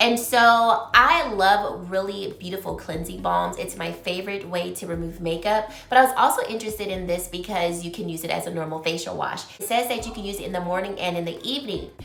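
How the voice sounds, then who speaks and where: Over noticeable background noise, a woman with a medium pitch speaks with hardly any pauses and big swings in loudness. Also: ordinary pitch variation, fairly quick pace. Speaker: beauty vlogger and consultant. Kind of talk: casual product review vlog. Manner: chatty, animated.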